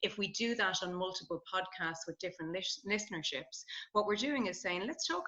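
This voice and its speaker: Speaking very fast, a woman with a slight Irish accent uses a medium pitch. Her pitch varies in an ordinary way. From Ireland. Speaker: positive psychology researcher. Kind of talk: podcast interview conversation.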